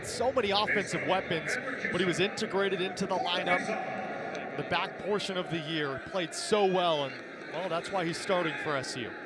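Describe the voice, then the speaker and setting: A high-pitched man's voice at a moderate pace amid noticeable background noise. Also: ordinary pitch variation. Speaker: collegiate sports broadcaster. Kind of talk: TV lacrosse play-by-play commentary. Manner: energetic, excited.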